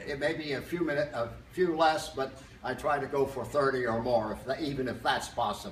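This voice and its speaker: A man talks fairly quickly at a fairly high pitch with fairly even intonation, with audible room echo and noticeable background noise. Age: 90s. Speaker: fitness enthusiast retiree. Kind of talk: casual interview. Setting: gym fitness room. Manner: halting.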